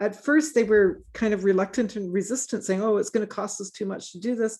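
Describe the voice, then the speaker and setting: Someone with a Canadian accent and a plain, everyday voice speaks at a moderate pace with ordinary pitch variation over a quiet background. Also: woman. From British Columbia, Canada. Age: 60s. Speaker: forest ecologist. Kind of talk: Q&A discussion.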